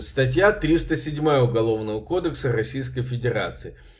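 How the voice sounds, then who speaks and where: A man speaks at a moderate pace and medium pitch with vocal fry. His intonation is lively. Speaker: journalist and video blogger. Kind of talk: legal explainer vlog. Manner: conversational with hesitations.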